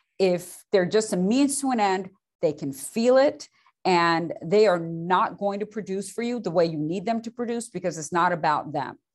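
At a moderate pace, a woman speaks with lively intonation and a medium pitch. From immigrant to US at seven, raised in Beaumont, Texas. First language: non-English. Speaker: lender. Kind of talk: interview.

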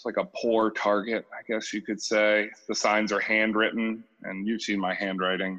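A man with an American accent, fairly low pitch and a bright, sharp tone, monotone and flat in intonation, at a moderate pace with hardly any pauses and big swings in loudness. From New Hampshire, US. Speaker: retail worker, former construction worker. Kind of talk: casual interview conversation.

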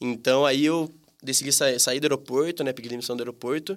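Speaking very fast, a man uses a fairly high voice. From Brazil, Campinas (São Paulo state). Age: 20s. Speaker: tapioca shop owner. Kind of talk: casual interview. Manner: hesitant, many fillers.

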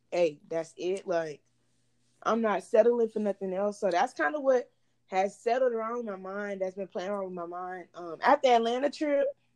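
A woman's medium-pitched ordinary speaking voice with an American accent, big swings in loudness and lively intonation. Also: moderate pace. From Texas, Houston area. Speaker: college student and entrepreneur. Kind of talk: casual chat.

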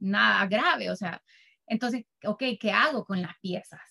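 In a Salvadoran accent, a woman speaks at a moderate pace with ordinary pitch variation. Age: 30s. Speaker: soap maker and business founder. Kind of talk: interview.

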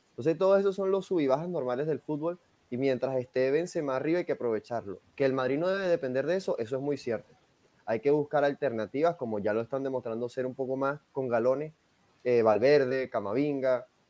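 A man's dark, mellow voice at medium pitch, fairly quick, with ordinary pitch variation and a dry, close sound with no echo. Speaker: football pundit. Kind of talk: casual chat.

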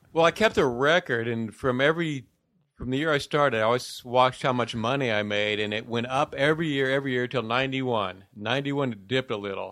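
On a very clean recording with a silent background, a man with an American accent uses a normal speaking voice at medium pitch, talking at a fairly quick pace with ordinary pitch variation. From Ohio. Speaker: comedian. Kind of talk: casual chat.

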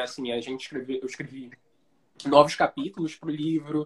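At a moderate pace, a man speaks in a plain, everyday voice. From Brazil, Rio de Janeiro. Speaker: writer and screenwriter. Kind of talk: casual interview on a live stream. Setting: Instagram live video call.

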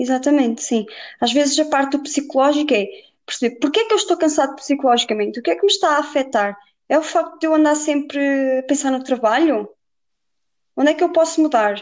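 A woman talks at a high pitch and a fairly quick pace. Her intonation is lively and her loudness very even. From Portugal, Viseu. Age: 20s. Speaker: personal trainer. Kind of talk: casual interview.

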